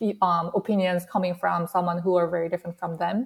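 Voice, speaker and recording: A woman with a Korean accent speaks at a fairly low pitch in a very clean recording with a silent background. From South Korea. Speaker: workplace researcher. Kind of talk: panel interview.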